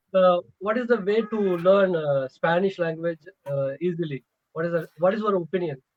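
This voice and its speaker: In a Tamil accent, a man speaks at a high pitch with ordinary pitch variation. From Tamil Nadu, southern India. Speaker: English learner. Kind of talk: casual chat. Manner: halting; fast.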